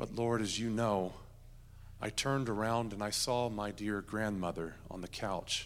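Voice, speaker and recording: A man's fairly low, fairly even voice at a fairly slow pace, with audible room echo. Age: 40s. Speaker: guest preacher. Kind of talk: sermon. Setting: church.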